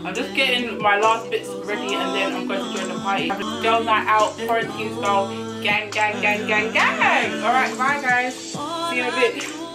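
A woman at a moderate pace with hardly any pauses, over loud music in the background. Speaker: vlogger. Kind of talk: casual vlog chat. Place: home room. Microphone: camera far.

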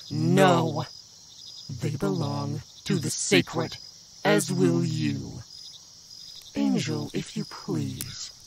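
A man does a put-on character voice, fairly high for a man, at a very slow pace. Long, frequent pauses fill the clip, and background noise is clear. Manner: commanding, menacing.

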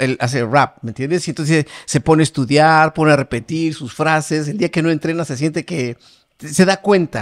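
Against a quiet background, a man with a plain, everyday voice speaks at a moderate pace in a fairly high pitch. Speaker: podcast co-host, channel director. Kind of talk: casual interview. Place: studio. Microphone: studio mic.

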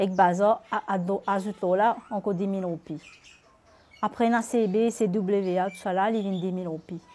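A woman's medium-pitched voice with a Mauritian accent, at a very slow pace with fairly even intonation. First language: Mauritian Creole (speaking French). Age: 30s. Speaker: interviewee, single parent. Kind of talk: testimony.

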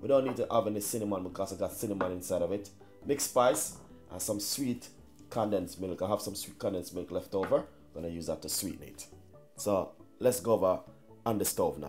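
A man with a fairly low pitch talks at a very fast pace. His pitch varies in an ordinary way, with faint music in the background. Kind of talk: cooking tutorial. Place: kitchen. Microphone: camera far.

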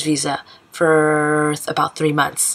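With an American accent, a woman speaks at a fairly slow pace in a very deep, low pitch. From United States. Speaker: expat sharing her story. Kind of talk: casual talk to camera. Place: home room. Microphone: webcam.

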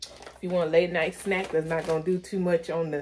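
A woman is speaking. There is light background noise. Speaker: haul vlogger. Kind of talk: casual vlog chat. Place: kitchen. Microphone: phone near.

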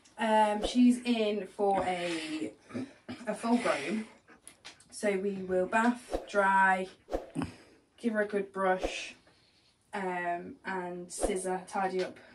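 Against noticeable background noise, a woman speaks at a very slow pace with fairly even intonation and long, frequent pauses. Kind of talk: tutorial. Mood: warm, relaxed. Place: shop. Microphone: camera far.

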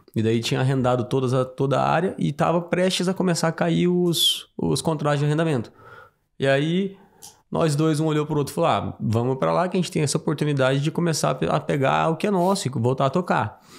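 A man's normal speaking voice at a fairly high pitch, fairly quick pace and ordinary pitch variation, in a very clean recording with a silent background. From Mato Grosso do Sul, Brazil. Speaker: farmer. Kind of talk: casual chat.

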